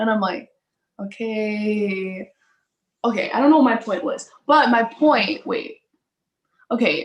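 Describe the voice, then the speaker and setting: Very slow and broken by long, frequent pauses, a woman speaks in a fairly high pitch with a somewhat breathy voice and ordinary pitch variation. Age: young. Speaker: musician, host's daughter. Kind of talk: casual chat. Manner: quiet. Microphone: no microphone.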